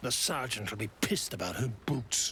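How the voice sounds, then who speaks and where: Putting on a gruff character voice at medium pitch, a man talks at a moderate pace over clear background noise. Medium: video game. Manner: gruff, coarse.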